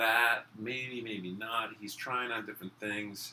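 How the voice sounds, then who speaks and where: Using an ordinary speaking voice, a man speaks at a fairly slow pace with ordinary pitch variation. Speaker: podcast host. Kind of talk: casual conversation. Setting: hotel room.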